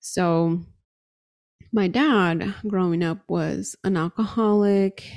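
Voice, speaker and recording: An unremarkable speaking voice belongs to this woman. Her pitch sits fairly low and varies in an ordinary way. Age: 30s. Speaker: podcast host and career coach. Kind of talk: solo podcast monologue.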